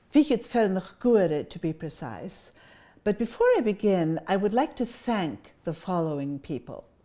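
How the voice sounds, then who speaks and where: Speaking at a fairly slow pace with a Scottish Highlands and Islands accent, a woman uses a medium pitch with very wide pitch swings. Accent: Scottish Highland and Islands. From Scotland, Isle of Skye. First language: Scottish Gaelic. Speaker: Gaelic teacher and cultural speaker. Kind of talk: public talk.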